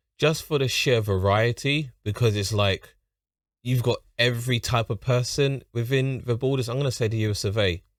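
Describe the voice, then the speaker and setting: A London accent at a moderate pace with ordinary pitch variation, on a very clean recording with a silent background. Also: man. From London, England. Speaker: YouTube reactor. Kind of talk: reaction commentary.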